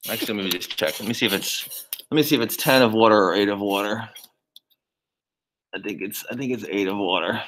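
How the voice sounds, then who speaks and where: A fairly low-pitched man at a very fast pace, with long, frequent pauses and ordinary pitch variation. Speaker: biology lab instructor. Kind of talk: lab demonstration tutorial.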